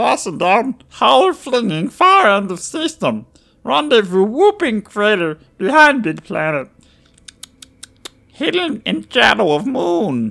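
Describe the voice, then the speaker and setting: A put-on character voice, croaky and fairly high in pitch. It moves along at a fairly slow pace. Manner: choppy broken speech, urgent, proud.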